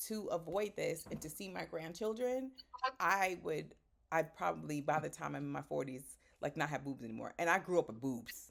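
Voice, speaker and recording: The speaker has an American accent and vocal fry at a moderate pace. The pitch swings very widely. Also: woman, very deep, low pitch for a woman. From Boston, Haitian American. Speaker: podcast host. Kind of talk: casual chat.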